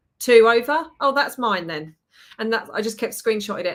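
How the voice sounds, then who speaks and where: A woman with a British accent and a fairly high pitch. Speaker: permanent makeup artist and trainer. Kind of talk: podcast conversation.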